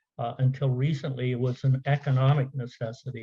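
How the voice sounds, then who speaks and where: A man's somewhat breathy voice, dark and mellow in tone, stays monotone and flat. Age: 70s. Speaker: conference speaker, software business owner. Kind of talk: conference presentation. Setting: virtual conference. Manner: halting, many fillers.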